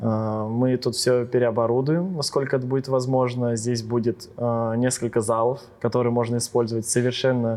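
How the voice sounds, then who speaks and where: Against a quiet background, a man with a dark, mellow tone and medium pitch speaks in a monotone, flat intonation at a moderate pace. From Ryazan region, Russia. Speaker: DJ. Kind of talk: casual chat.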